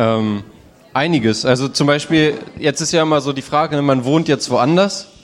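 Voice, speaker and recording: Moderate pace against noticeable background noise. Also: man, fairly high pitch for a man, ordinary pitch variation. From northern Germany, Wolfsburg. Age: 20s. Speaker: student telling his life story. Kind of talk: personal testimony; audience Q&A.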